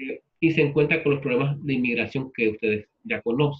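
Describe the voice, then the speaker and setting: This man has a fairly high-pitched voice. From Puerto Rico. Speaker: literature professor. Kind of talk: lecture with class discussion. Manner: conversational.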